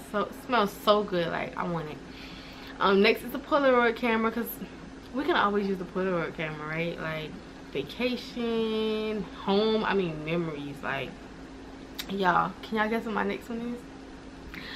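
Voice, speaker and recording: Over noticeable background noise, a woman talks at a moderate pace and a medium pitch. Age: 20s. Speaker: lifestyle vlogger. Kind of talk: casual vlog. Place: home room. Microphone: camera far.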